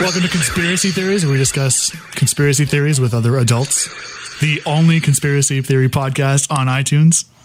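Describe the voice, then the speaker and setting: Music plays behind a man talking at a fairly quick pace with hardly any pauses. His pitch is fairly high and varies in an ordinary way. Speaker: podcast host. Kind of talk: podcast intro.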